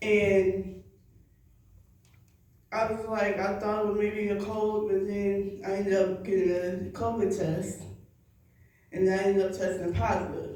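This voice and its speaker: A woman speaks in a dark, mellow tone at a fairly slow pace with monotone, flat intonation. Long, frequent pauses break up her speech. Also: medium pitch for a woman. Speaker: evangelist. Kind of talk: church sermon / spoken word. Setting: church congregation.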